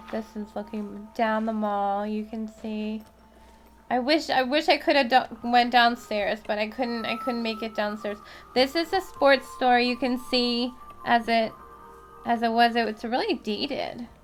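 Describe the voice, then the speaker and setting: With an American accent, a woman speaks with ordinary pitch variation amid noticeable background noise. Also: fairly high pitch for a woman, fairly slow pace. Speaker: urban explorer vlogger. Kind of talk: commentary voiceover. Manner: loud talker by habit; casual, filler-heavy.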